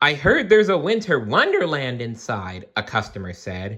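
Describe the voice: This is plain reading aloud. Nothing more is added to the delivery.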